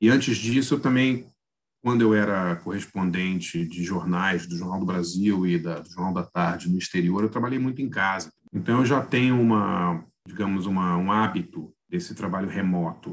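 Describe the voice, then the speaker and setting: With a very deep, low pitch and ordinary pitch variation, a man talks at a moderate pace. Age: 50s. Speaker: journalist and film critic. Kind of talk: casual chat.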